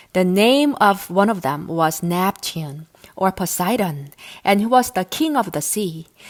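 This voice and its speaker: In a very clean recording with a silent background, a woman with an American accent and a plain, everyday voice speaks at a fairly slow pace with lively intonation. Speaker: English teacher. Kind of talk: audiobook reading of myths.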